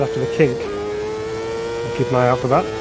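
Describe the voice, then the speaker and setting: A man speaks with a slight New Zealand accent. Music plays in the background, and the room echo is audible. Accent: English with a slight Kiwi twang. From England. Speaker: sim racing streamer. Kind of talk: live stream commentary. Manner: casual, conversational.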